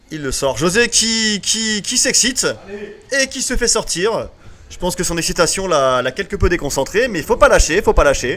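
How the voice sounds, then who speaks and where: Delivered at a moderate pace, this animated voice swings very widely in pitch over noticeable background noise. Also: man, high pitch for a man. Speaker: esports commentator. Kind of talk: live commentary.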